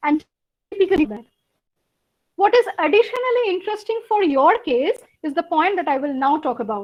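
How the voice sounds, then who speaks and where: Speaking in a Bengali accent, a woman with an extremely high pitch talks at a fairly quick pace, her pitch swinging very widely between long, frequent pauses. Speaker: university lecturer. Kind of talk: lecture.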